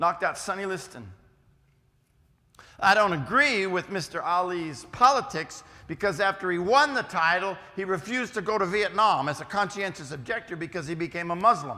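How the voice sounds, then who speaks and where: A man's raised, projected voice with an American accent, high-pitched, bright and sharp in tone, with lively intonation. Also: moderate pace. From West Virginia, US. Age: 50s. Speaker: preacher and schoolteacher. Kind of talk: youth lecture. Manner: casual, halting.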